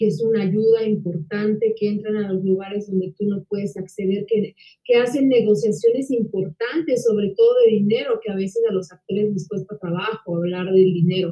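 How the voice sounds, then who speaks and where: This woman's voice sits fairly high and has a somewhat breathy quality. Its rise and fall is typical. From Mexico. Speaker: actress and interviewer. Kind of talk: casual interview.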